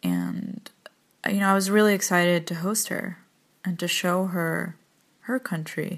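A woman of medium pitch speaks fairly slowly in an American accent. Her speech has long, frequent pauses. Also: fairly even intonation. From West Bank, Palestine; teens in North Carolina. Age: 20s. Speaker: audio diary contributor. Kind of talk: personal audio diary.

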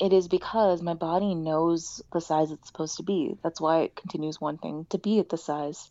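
A woman speaks at a moderate pace in a fairly low pitch with monotone, flat intonation. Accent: American. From US, Indian family. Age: 30s. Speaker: sex therapist. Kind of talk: interview, casual conversation.

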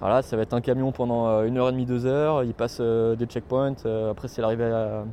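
Talking at a fairly quick pace, a man at medium pitch uses monotone, flat intonation. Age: 30s. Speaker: marine biologist. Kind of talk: casual explanation.

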